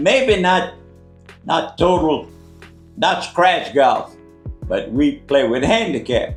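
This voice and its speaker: Music plays in the background as a man speaks at a high pitch with very wide pitch swings. His pace is very slow, with long, frequent pauses. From Louisiana, USA. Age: 80s+. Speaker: Navy veteran. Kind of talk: casual conversation on camera.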